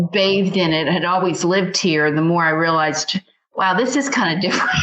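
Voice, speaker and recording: In an American accent, a woman speaks in an ordinary speaking voice, her pitch fairly low with ordinary variation. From not from the US South. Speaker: podcast host and novelist. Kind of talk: interview.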